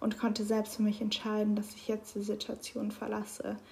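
Her voice is somewhat breathy, with a dark, mellow tone, and this woman speaks at a moderate pace and a fairly high pitch. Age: 20s. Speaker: podcaster. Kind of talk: personal monologue.

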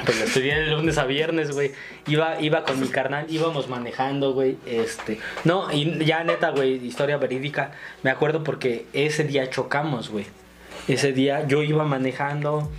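A man speaks at a moderate pace in a fairly high pitch, his intonation fairly even, over noticeable background noise. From Mexico, Ciudad Nezahualcóyotl (Estado de México). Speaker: stand-up comedian. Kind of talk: casual chat.

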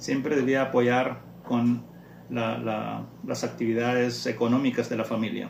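The recording has noticeable background noise and audible room echo. A man speaks at a fairly slow pace. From Honduras, rural Mosquitia region. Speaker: parent. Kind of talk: interview. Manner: halting.

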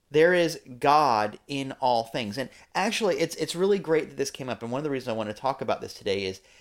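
On a very clean recording with a silent background, a man with a normal speaking voice talks at a fairly quick pace. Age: 40s. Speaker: podcast host and church leader. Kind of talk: casual chat.

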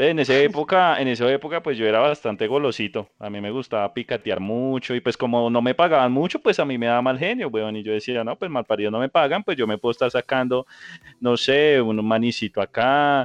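The speaker has an ordinary speaking voice with ordinary pitch variation. The pace is fairly quick. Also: man, medium pitch for a man. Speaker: podcast co-host. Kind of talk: casual chat.

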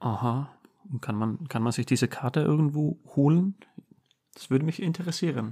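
With an Icelandic accent, a man speaks at a moderate pace with long, frequent pauses. His fairly high voice is somewhat breathy, with a dark, mellow tone and ordinary pitch variation. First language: Icelandic (speaking German). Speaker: host's husband. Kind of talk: casual chat. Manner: halting.

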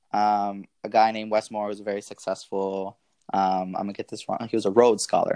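Against a quiet background, a man speaks in an ordinary speaking voice with a fairly low pitch at a fairly quick pace, the sound dry and close with no echo. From US South (Marietta, Georgia, Atlanta area). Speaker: MBA student. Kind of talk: interview, personal story.

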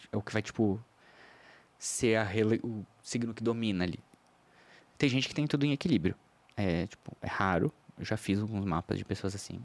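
A man with a fairly low voice speaks at a moderate pace, with ordinary pitch movement and long, frequent pauses, on a very clean recording with a silent background. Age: 30s. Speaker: astrologer. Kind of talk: casual chat. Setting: studio.

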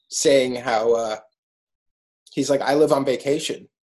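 In an American accent, a man speaks at a medium pitch with fairly even intonation. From New York City (Brooklyn). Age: 30s. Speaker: artist. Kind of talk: interview.

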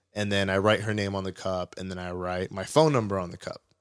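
A man speaks at a fairly quick pace and fairly low pitch. The recording is very clean, with a silent background. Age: 20s. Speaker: sports podcast co-host. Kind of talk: casual chat. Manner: animated.

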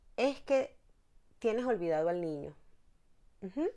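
With very wide pitch swings, a woman speaks fairly slowly. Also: very clean recording, silent background. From Venezuela, La Guaira (Vargas state). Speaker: therapist and personal development teacher. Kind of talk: interview.

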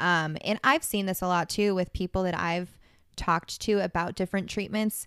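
A woman speaks at medium pitch and a moderate pace in a plain, everyday voice. The recording is very clean, with a silent background. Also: fairly even intonation. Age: 20s. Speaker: podcast co-host. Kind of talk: casual chat.

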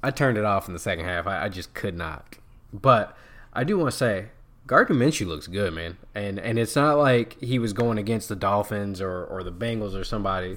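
A man's ordinary speaking voice, fairly low in pitch, at a fairly quick pace with ordinary pitch variation. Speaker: podcast host. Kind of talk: casual sports chat. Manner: casual, conversational.

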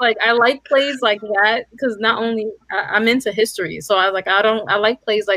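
Someone speaks at a moderate pace with a New York accent. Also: woman. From New York City. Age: 30s. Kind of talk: casual chat.

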